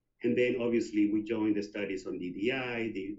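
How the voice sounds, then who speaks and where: A man speaks at a moderate pace. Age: 60s. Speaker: HIV activist and long-term survivor. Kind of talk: conference presentation. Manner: hesitant, many fillers.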